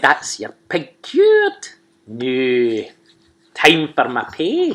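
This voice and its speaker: In a put-on character voice with a Scottish accent, the speaker talks at a very slow pace in a middle pitch. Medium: read story. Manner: sly, scornful.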